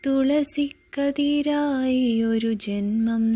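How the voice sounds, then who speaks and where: Her high voice shows ordinary pitch variation as a woman speaks on a very clean recording with a silent background. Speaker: poetry reciter. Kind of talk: poetry reading, devotional verse.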